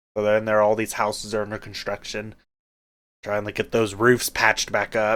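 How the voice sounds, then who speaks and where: A man with an American accent speaks at a moderate pace in a fairly low pitch. The recording is very clean, its background silent. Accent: Oklahoma accent, comes out when aggravated. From Oklahoma. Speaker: podcast co-host. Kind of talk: casual chat. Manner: animated.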